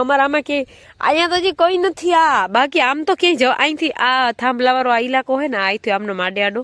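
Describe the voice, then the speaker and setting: A woman is speaking. Her pitch is high. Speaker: vlogger. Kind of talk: casual chat.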